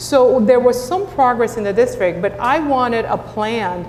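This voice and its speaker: Speaking at a moderate pace with a Spanish accent and ordinary pitch variation, a woman is heard with audible room echo and noticeable background noise. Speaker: school district superintendent. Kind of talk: panel discussion.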